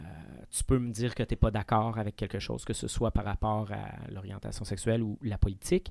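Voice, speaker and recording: A man's normal speaking voice, fairly low in pitch, at a fairly quick pace with fairly even intonation, dry and close with no echo, on a very clean recording with a silent background. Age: 40s. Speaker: actor and drag queen. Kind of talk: casual chat.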